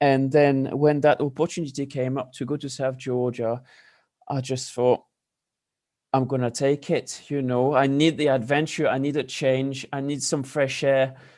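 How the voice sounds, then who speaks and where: A man speaks with a French accent at a moderate pace. His intonation is monotone and flat, and the background is quiet. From France. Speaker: pastry chef. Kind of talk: interview. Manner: hesitant with repetitions.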